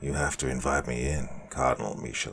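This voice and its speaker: In a put-on character voice, a man talks with a very deep, low pitch, a raspy texture and monotone, flat intonation. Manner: menacing.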